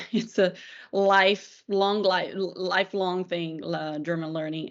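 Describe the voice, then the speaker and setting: In a Portuguese accent, a woman speaks with a fairly low pitch and monotone, flat intonation. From Brazil, Brasilia. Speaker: PR professional, former journalist. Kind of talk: casual discussion.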